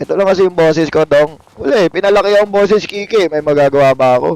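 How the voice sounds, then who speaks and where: A man talks in an animated tone, the sound dry and close with no echo. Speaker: game streamer. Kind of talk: live gameplay stream chat.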